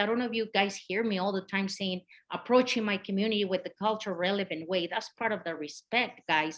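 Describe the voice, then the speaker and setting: A woman's fairly quick, nearly pause-free speech in a Spanish accent at a medium pitch. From Mexico. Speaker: community health outreach worker. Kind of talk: conference presentation. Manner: animated.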